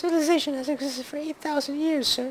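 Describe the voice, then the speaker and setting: In a put-on character voice, the speaker talks at a very fast pace and a high pitch. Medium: game stream. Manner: dry, wry.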